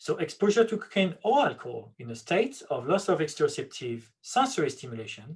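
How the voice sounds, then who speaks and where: Speaking at a fairly quick pace with a French accent, a man swings his pitch very widely. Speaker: neuroscience researcher. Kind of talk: lecture.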